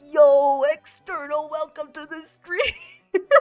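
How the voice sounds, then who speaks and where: A put-on character voice at a high pitch moves at a very slow pace while music plays in the background. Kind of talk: casual slangy.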